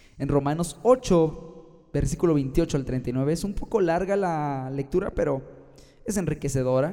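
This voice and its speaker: A man with a central Mexican accent speaks at a fairly slow pace, his tone dark and mellow. His pitch varies in an ordinary way, and he hardly pauses at all. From Mexico, Guanajuato. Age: 20s. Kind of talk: sermon-style podcast monologue.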